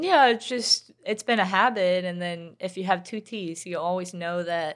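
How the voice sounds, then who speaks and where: On a very clean recording with a silent background, a woman with a Swedish accent speaks at medium pitch with ordinary pitch variation. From Sweden. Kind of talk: interview.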